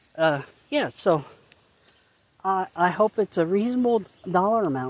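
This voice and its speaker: A moderate pace in a central Pennsylvania accent. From central Pennsylvania, Perry County. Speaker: dog walking vlogger. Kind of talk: casual walking vlog. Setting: outdoors on hiking trail. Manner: halting, repetitive.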